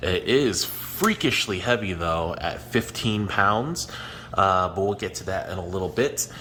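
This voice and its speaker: A man talks at a fairly slow pace as noticeable background noise goes on. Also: fairly low pitch for a man, ordinary pitch variation. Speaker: aquarium hobbyist YouTuber. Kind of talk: product review. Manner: casual, many fillers.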